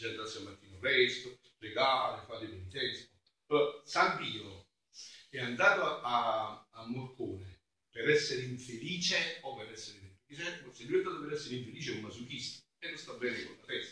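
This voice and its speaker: The voice has a bright, sharp tone and ordinary pitch variation. It moves at a fairly quick pace with big swings in loudness. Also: man, medium pitch for a man. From southern Italy, Campania (Avellino province). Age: 50s. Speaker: friar, preacher. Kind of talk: sermon. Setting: church during mass.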